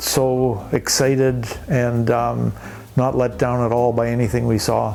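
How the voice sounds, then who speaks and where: Medium-pitched male voice in a Canadian accent, monotone and flat, with music in the background. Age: 70s. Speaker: interviewee, retired traveler. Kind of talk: casual interview.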